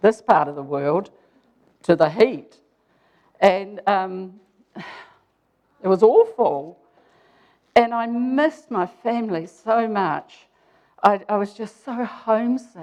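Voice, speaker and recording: Speaking at a very slow pace with long, frequent pauses, a woman with a New Zealand accent uses lively intonation. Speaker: speaker telling a personal story.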